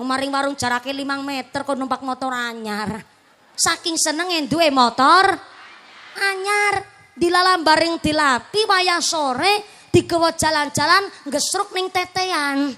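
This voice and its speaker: Speaking fairly slowly in a raised, projected voice, a woman with a high pitch is heard over noticeable background noise. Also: lively intonation. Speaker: Islamic preacher. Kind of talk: religious sermon with humor. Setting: outdoor stage with PA system. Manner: animated. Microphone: echo effect on PA removed.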